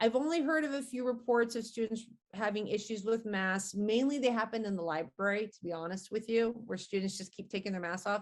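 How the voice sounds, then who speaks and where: Fairly high in pitch, a woman talks fairly quickly with hardly any pauses and ordinary pitch variation. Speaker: college science instructor. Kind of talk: interview. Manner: loud.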